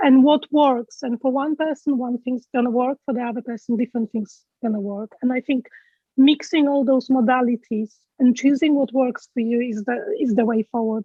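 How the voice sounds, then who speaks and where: A woman's high voice with a Polish accent, ordinary pitch variation and a moderate pace. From Poland. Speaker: event speaker, health group leader. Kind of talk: interview at online awards event. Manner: halting, many fillers.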